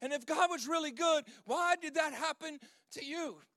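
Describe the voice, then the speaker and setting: A man's extremely high-pitched voice at a moderate pace. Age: 40s. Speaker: pastor. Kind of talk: sermon.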